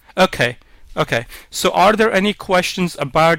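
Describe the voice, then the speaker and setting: Ordinary pitch variation and a moderate pace mark an unremarkable speaking voice. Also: man. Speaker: webinar presenter. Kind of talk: tutorial. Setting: online webinar.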